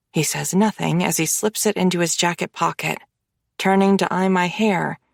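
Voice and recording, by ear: The reading is done aloud in a natural voice. Nothing stirs behind it.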